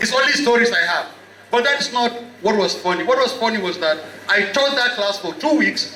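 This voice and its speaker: Raised and projected, a man's extremely high-pitched voice carries lively intonation at a moderate pace, with audible room echo and noticeable background noise. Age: 50s. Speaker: author and university lecturer. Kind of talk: book chat Q&A before student audience.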